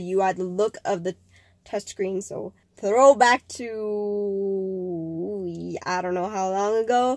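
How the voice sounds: This woman's voice sits at a medium pitch and sounds nasal, with fairly even intonation and a slightly mellow tone.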